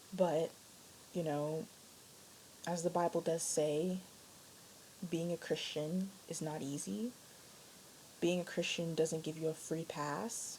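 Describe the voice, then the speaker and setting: Quiet and somewhat breathy, a woman whispers at a very slow pace with long, frequent pauses. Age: young. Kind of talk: casual talk to camera. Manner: quiet, near whisper.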